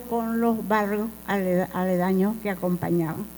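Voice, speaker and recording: Over music in the background, a woman speaks at a very slow pace in a medium pitch with ordinary pitch variation and audible room echo. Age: 80s+. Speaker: former student activist. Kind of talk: lecture.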